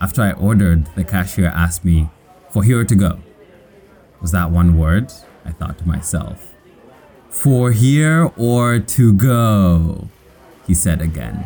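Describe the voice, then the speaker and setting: Over noticeable background noise, a man with a very deep, low pitch speaks at a fairly slow pace, his intonation lively and broken by long, frequent pauses. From Kenya. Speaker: storyteller sharing personal immigration story. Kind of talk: scripted personal narration.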